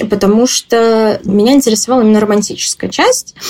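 Speaking at an average speed, a woman uses an ordinary speaking voice pitched fairly high. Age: 20s. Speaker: interviewee. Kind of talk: personal testimony.

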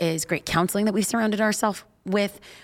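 A woman with a Californian accent, fairly even intonation, on a very clean recording with a silent background. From Los Angeles. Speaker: preacher and church pastor. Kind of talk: interview chat.

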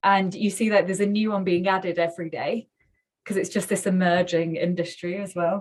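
A woman at medium pitch speaks in a flat monotone with a Mancunian accent. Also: fairly quick pace. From northern England, Manchester. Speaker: tech startup founder and CEO. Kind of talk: casual interview.

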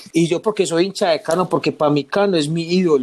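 Speaking at a fairly quick pace, a man talks with a high pitch for a man. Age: 30s. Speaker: football fan. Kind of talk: casual chat.

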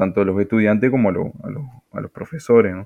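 This is a man talking. He has a Uruguayan accent. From Uruguay, Tacuarembó. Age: young. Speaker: salesman and father. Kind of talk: personal testimony. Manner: halting, repeats words.

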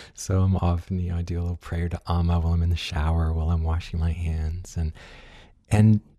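A man speaks with a very deep, low pitch. His voice is resonant, with a dark, mellow tone. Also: very clean recording, silent background. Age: 50s. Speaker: podcast host, musician and wellness teacher. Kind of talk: casual interview conversation.

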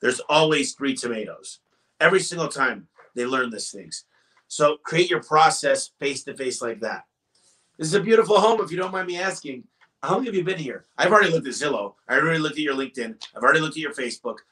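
A man with an American accent speaks loudly at a very fast pace, his pitch fairly high. His tone is bright and sharp, with lively intonation. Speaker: business owner. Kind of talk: interview. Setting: in person at an office.

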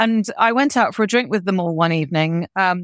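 A woman speaks at a medium pitch with a British accent. The recording is very clean and dry, close and without echo, over a silent background. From UK. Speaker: business executive and professor. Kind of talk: interview.

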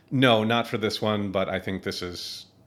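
Speaking with fairly even intonation in an Upper Midwest accent, a man is heard on a very clean recording with a silent background. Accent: Upper Midwest American. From US Midwest, Minneapolis, Minnesota. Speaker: army veteran, engineering grad student. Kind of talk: casual interview.

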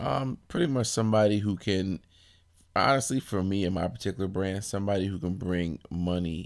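A man with an American accent, ordinary pitch variation and a moderate pace, on a very clean recording with a silent background. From Brooklyn, New York. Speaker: clothing company owner. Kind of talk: interview. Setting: fitness expo.

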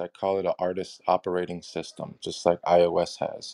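A man speaks in a dark, mellow tone. The sound is dry and close with no echo, over a quiet background. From Los Angeles. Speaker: mentor, music business.

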